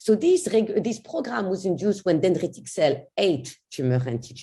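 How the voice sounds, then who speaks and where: Her dark, mellow tone carrying vocal fry and very wide pitch swings, a woman speaks at a moderate pace. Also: medium pitch for a woman. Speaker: cancer immunology researcher. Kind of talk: scientific lecture. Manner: halting.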